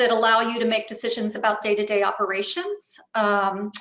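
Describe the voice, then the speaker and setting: The woman's voice sits at a fairly high pitch. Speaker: webinar presenter. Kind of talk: webinar presentation. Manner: hesitant with fillers.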